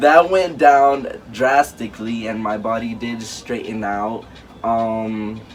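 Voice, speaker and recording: Over noticeable background noise and audible room echo, a man talks very slowly at a medium pitch, with ordinary pitch variation and big swings in loudness. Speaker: YouTuber. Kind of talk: casual chat.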